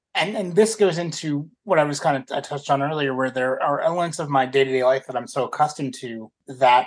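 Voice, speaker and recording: Speaking with an American accent, a man has an unremarkable speaking voice at a fairly high pitch. He talks at a fairly quick pace with ordinary pitch variation. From US South. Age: 30s. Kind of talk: interview.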